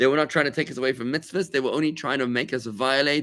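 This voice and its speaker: In a very clean recording with a silent background, a man speaks in a fairly high voice with a bright, sharp tone. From South Africa. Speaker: rabbi. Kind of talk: Torah class. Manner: fast; conversational.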